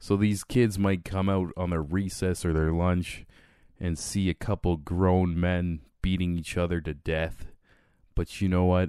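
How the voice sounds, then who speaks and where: On a very clean recording with a silent background, a man speaks at a fairly slow pace. His pitch is very deep and low, and his intonation is fairly even. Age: 30s. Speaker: podcast host. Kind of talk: casual chat.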